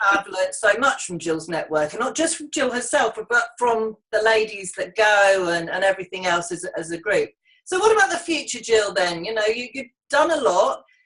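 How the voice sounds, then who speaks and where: A woman with an English accent, fairly high in pitch, with very wide pitch swings, a moderate pace and hardly any pauses. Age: 50s. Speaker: business networking host. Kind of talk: casual interview. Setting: online video call.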